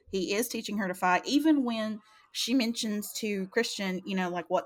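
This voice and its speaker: A woman's voice with ordinary pitch variation. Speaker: book club co-host. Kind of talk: casual chat. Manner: animated, joking.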